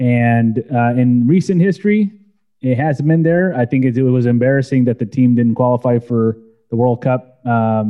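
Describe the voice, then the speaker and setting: A man uses a normal speaking voice at medium pitch, with ordinary pitch variation, a moderate pace and very even loudness. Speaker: soccer podcast host. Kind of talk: casual panel discussion.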